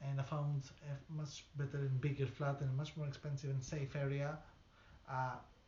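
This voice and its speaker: A somewhat breathy voice at a moderate pace, flat and monotone in intonation. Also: man. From outside the UK. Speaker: local resident. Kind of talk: interview testimony. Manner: halting.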